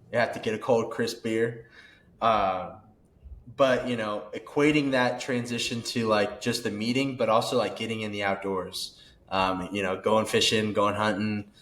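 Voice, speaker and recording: A man with an American accent talks at a moderate pace in a medium pitch. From Kansas. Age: 20s. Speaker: outdoorsman podcast guest. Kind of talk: casual chat. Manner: animated.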